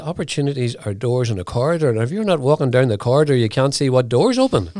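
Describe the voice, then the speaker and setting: A man speaks with a Northern Irish accent in a dark, mellow tone, his pitch fairly high for a man. The recording is very clean, with a silent background. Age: 70s. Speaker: entrepreneur. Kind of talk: interview. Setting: studio. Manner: halting.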